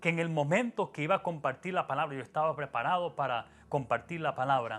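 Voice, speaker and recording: A man speaks in a bright, sharp tone on a very clean recording with a silent background. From Latin America, Spanish-speaking (moved to US at 14). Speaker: pastor. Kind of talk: sermon. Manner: hesitant, many fillers.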